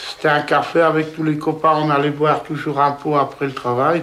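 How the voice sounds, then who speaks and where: Flat, monotone speech comes at a fairly slow pace over noticeable background noise and audible room echo. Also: man. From Poland. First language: Polish (speaking French). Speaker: villager, father of large family. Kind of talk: interview testimony. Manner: halting.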